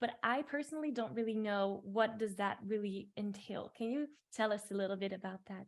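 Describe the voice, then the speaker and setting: This woman has a non-native accent. She talks at a fairly quick pace. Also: fairly high pitch for a woman, ordinary pitch variation, hardly any pauses. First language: not English. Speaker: podcast host, singing coach. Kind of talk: recorded intro; podcast interview. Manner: animated.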